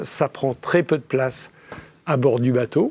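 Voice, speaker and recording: Dry and close with no echo, the recording carries a man's dark, mellow tone. He talks at a fairly slow pace. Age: 60s. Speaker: sailor and entrepreneur. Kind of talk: interview. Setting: TV studio set.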